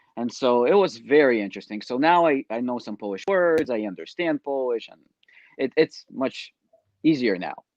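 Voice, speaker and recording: A man at medium pitch with lively intonation, moderate pace and big swings in loudness, in a dry, close sound with no echo. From Ukraine, raised in New York from age ten. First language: Russian. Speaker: network marketer, reality show contestant. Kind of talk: interview.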